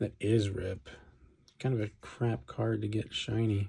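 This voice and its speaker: Mumbling at a medium pitch, a man sounds somewhat breathy, with a dark, mellow tone. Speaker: card opening video creator. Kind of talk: casual pack-opening commentary.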